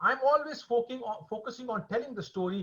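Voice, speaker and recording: The pace runs fairly quick. The speaker is a man. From India, later Singapore. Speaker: author and filmmaker, former finance executive. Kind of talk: webinar Q&A answer.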